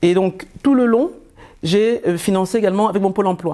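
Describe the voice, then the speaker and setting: A woman's medium-pitched voice with a dark, mellow tone and ordinary pitch variation. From Cameroon. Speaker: entrepreneur, former catering director. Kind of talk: interview answer.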